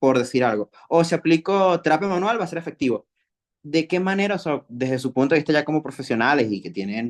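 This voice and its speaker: A man talks at a fairly quick pace in a Venezuelan accent. The sound is dry and close, without echo. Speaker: kinesiology graduate, webinar attendee. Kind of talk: question in a webinar Q&A.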